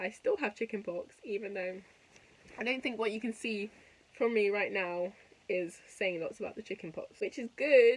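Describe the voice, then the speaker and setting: With a London accent, a woman speaks at a moderate pace in a fairly high voice. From West London, England. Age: 20s. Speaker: YouTuber and podcast host, university student. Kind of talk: casual vlog chat. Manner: chatty, rambling with fillers.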